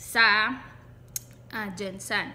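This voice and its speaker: A woman speaks with a Visayan accent. Her pitch is fairly high. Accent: Bisaya accent in Tagalog. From Visayas, Philippines. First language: Cebuano (Bisaya) (speaking Tagalog). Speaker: vlogger. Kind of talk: casual vlog, personal experience tutorial. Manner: halting, self-correcting.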